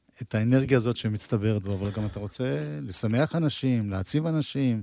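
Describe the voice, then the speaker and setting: A man talks in a normal speaking voice with lively intonation and a fairly quick pace. The recording is very clean, with a silent background. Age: 60s. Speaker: music show host. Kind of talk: casual interview; storytelling.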